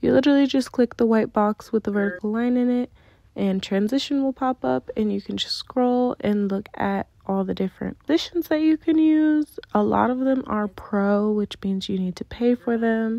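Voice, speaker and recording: Soft-spoken, a woman talks at a moderate pace with hardly any pauses. Her pitch is fairly high, with ordinary variation. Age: 20s. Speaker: content creator, video tutorial maker. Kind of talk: tutorial. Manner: casual.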